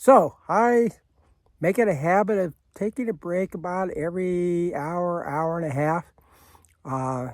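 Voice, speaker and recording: Speaking at a fairly slow pace, a man has a high pitch. The sound is dry and close, without echo. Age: 80s+. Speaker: long-distance hiker. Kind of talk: casual vlog narration. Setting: outdoors on a trail. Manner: halting, many fillers.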